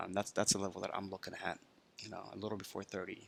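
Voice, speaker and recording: Quiet and very fast, a man speaks at a fairly low pitch in a bright, sharp tone with monotone, flat intonation. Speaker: crypto trading commentator. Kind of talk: screen-share market commentary. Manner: talking quietly; many filler words.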